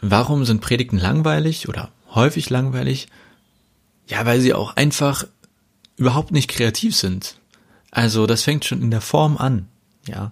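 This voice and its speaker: Somewhat breathy, a man of medium pitch speaks at a fairly slow pace with ordinary pitch variation and long, frequent pauses. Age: 30s. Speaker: pastor. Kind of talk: casual podcast monologue.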